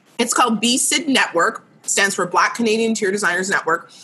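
A woman speaks in a fairly high pitch with ordinary pitch variation. Noticeable background noise sits behind her. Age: 30s. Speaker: interior designer. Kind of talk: casual chat.

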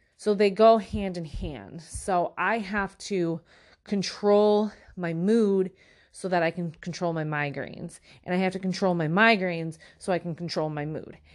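A woman with an American accent and a normal speaking voice talks at a fairly slow pace and medium pitch, with fairly even intonation. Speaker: podcast host. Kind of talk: solo monologue about personal health. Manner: filler-heavy, conversational.

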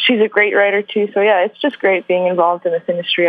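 There is noticeable background noise. A woman talks at a medium pitch with fairly even intonation. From Vancouver, Canada. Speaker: journalist and author. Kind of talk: interview.

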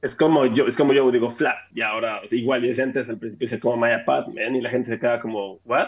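A man's medium-pitched voice at a very fast pace, monotone and flat, with hardly any pauses. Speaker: podcast co-host. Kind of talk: casual chat.

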